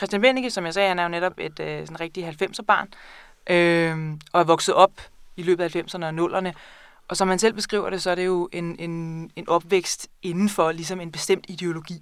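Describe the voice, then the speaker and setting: A woman with a normal speaking voice, fairly low in pitch, at a moderate pace, with fairly even intonation and big swings in loudness, on a very clean recording with a silent background. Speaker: librarian and book buyer. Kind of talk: casual interview about books. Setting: studio.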